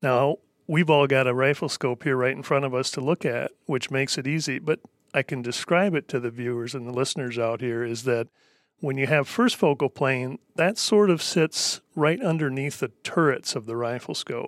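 In a very clean recording with a silent background, a man with a normal speaking voice talks at a medium pitch and moderate pace, with ordinary pitch variation and a dry, close sound with no echo. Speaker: former hunting guide, optics educator. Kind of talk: casual technical discussion.

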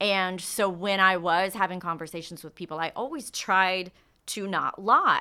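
Speaking at a fairly slow pace with an American accent, this voice has a bright, sharp tone and ordinary pitch variation, captured in a very clean recording against a silent background. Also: woman, medium pitch for a woman, big swings in loudness. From Texas (Katy, near Houston). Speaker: sports entertainment host and producer. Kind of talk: casual interview chat.

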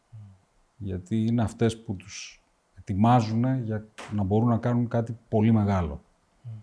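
A man with a dark, mellow, somewhat breathy tone speaks at medium pitch with fairly even intonation, big swings in loudness, and long, frequent pauses. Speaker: podcast host, business owner. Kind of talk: interview.

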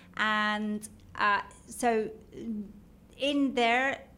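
A woman with a London accent, a bright, sharp tone, fairly high pitch and ordinary pitch variation. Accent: British (London). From London, England. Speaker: marketing executive. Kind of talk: casual interview chat.

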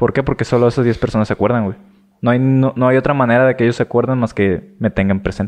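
A man at a very fast pace and medium pitch, with ordinary pitch variation and very even loudness. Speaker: podcast co-host. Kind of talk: casual chat.

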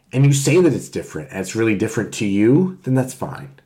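A man with an American accent, a dark, mellow tone and a somewhat breathy sound. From Connecticut, US. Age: 30s. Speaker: writer and podcast guest. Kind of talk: casual chat.

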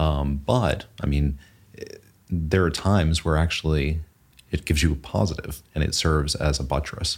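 In an American accent, a man with a very deep, low pitch talks at a moderate pace, keeping very even loudness and fairly even intonation. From US South, Texas and Southeast. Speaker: financial advisor. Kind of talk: casual chat.

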